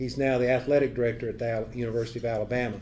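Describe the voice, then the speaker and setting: The man has a Southern US accent and a dark, mellow tone. He talks at a fairly quick pace against light background noise. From Tennessee. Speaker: former football coach. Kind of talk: speaker introduction. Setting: club meeting. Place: meeting room. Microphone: podium.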